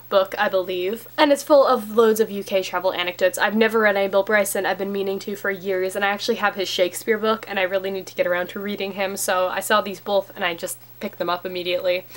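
A woman speaks at a medium pitch and a fast pace, with few pauses and fairly even intonation.

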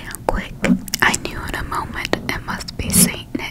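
A woman talks fairly slowly against loud background noise. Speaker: ASMR creator. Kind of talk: reading a story aloud. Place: home room. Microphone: studio mic.

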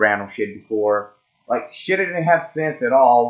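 Speaking at a moderate pace with a non-native accent, the voice swings very widely in pitch. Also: man. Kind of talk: casual talk to camera, music ranking commentary. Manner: casual, hesitant.

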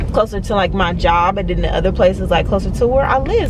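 A woman at a very fast pace, dry sound with no echo, noticeable background noise. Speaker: vlogger. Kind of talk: casual vlog chat. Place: car.

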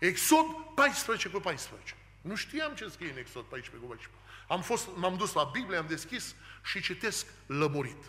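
A man at a very slow pace and high pitch, with very wide pitch swings and big swings in loudness. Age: 40s. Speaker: preacher. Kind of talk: sermon. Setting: church. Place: church. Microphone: podium.

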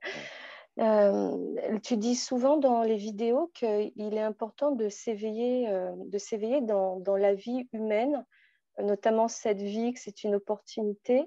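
Over a quiet background, dry with no echo, a woman speaks at a very slow pace in a dark, mellow tone with fairly even intonation. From France. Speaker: mother. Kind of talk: question and answer session. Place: home room. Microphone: video call.

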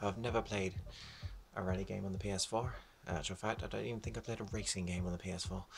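A man with a very deep, low pitch speaks in an enthusiastic tone with vocal fry. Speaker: gamer YouTuber. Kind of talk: casual gameplay commentary with complaints. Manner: chatty, enthusiastic then grumbling.

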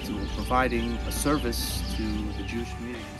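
Music plays in the background as the speaker, with an American accent, goes at a fairly quick pace with ordinary pitch variation. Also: man. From Texas, USA. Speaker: rabbi and cattle rancher. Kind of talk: interview answer. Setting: outdoors.

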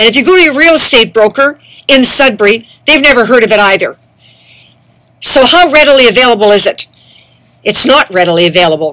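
A woman's high voice with very wide pitch swings, a fairly quick pace and long, frequent pauses, against a quiet background. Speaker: activist vlogger. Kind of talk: angry monologue. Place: home room. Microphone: webcam.

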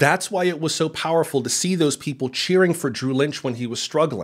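The background is quiet while a man speaks at a fairly quick pace. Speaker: video essayist. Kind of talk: commentary talk to camera. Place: studio. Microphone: studio mic.

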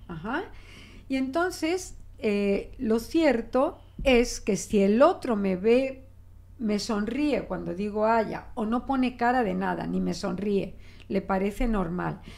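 A woman in a Mexican accent, fairly high-pitched, with lively intonation and a very slow pace. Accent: Spanish accent with Mexican features. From Spain. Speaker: linguist; guest. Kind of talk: interview. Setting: radio studio. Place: studio. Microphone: studio mic.

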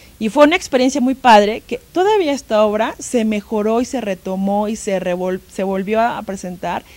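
A woman with a fairly high pitch, moderate pace, ordinary pitch variation and hardly any pauses. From Mexico, Tlaxcala. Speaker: museum educational curator; guest. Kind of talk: interview. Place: studio. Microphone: handheld.

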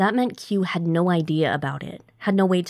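This is an unforced reading voice. The words are simply read out.

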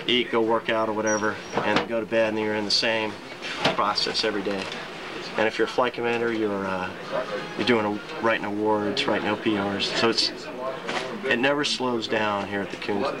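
A man talks at a fairly quick pace against loud background noise. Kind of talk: interview answer. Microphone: old recording.

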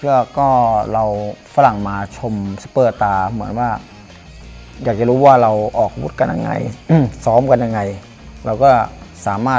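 A man is speaking with faint music in the background. His pitch varies in an ordinary way. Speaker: gym trainer. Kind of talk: interview answer. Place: gym. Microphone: lapel.

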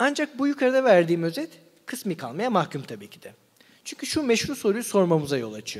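A man's high-pitched voice at a fairly quick pace, with very wide pitch swings and big swings in loudness, against a quiet background. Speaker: philosophy seminar lecturer. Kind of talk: lecture. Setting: live seminar with audience. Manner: slightly trembling voice. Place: hall. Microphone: studio mic.

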